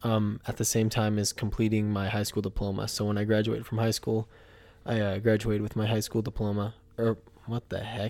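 A man talks at a fairly quick pace. His fairly low voice stays monotone and flat. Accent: American. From Washington state, US Pacific Northwest. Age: 20s. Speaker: podcast co-host. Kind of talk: casual chat. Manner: hesitant, many fillers.

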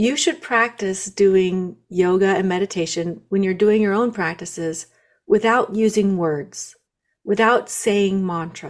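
At a fairly slow pace, a woman talks in an unremarkable speaking voice of medium pitch with ordinary pitch variation. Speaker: guest, spiritual practitioner. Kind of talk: casual interview.

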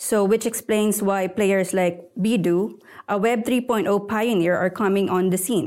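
On a very clean recording with a silent background, a woman with an unremarkable speaking voice talks at a medium pitch and a fairly slow pace, with fairly even intonation and very even loudness. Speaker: podcast host, tech editor. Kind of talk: podcast interview.

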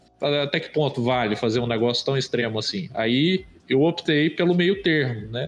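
Music plays behind a man speaking at a fairly high pitch. He keeps a fairly slow pace with ordinary pitch variation. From Brazil, interior of Minas Gerais. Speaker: illustrator. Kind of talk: casual chat.

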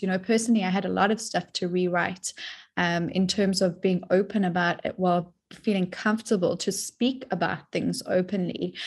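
A woman speaks at a medium pitch and a moderate pace with fairly even intonation. Her voice is somewhat breathy, and she leaves hardly any pauses. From South Africa. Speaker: depth psychologist and dream teacher. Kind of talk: interview conversation.

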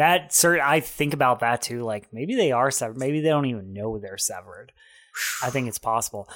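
A man with an unremarkable speaking voice talks at a moderate pace in a medium pitch, his intonation lively. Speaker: podcast host. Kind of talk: casual podcast banter. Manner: joking, playful.

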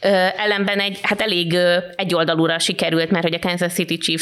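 With a Hungarian accent, a woman speaks at a fairly low pitch with ordinary pitch variation. Background noise is noticeable. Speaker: podcast host. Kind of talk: casual chat.

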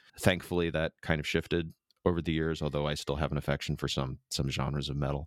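A man's very deep, low voice with vocal fry, very fast and monotone with flat intonation, in a dry, close sound with no echo. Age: 40s. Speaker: podcast guest, hobbyist guitarist. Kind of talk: casual chat.

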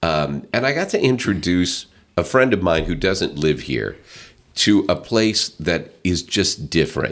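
A man with an American accent speaks at a fairly slow pace. His pitch is very deep and low. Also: lively intonation. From US South (Northwest Arkansas). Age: 50s. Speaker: county councilman and business executive. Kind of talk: casual interview chat. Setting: studio.

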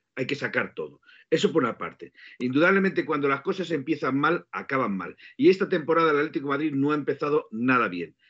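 The delivery is very fast, with lively intonation. Vocal fry runs through the voice. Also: man, fairly high pitch for a man. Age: 50s. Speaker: football podcast co-host. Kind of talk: casual chat.

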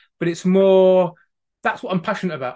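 This is a man with a Staffordshire accent. The background is quiet. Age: 30s. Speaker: wellbeing coach from a farming family. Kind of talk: podcast interview.

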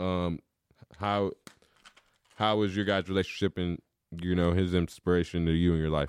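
The speaker, with an American accent, goes at a fairly quick pace in a dry, close sound with no echo. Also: man. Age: 20s. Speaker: podcast host, former junior college football player. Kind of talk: casual chat. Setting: studio.

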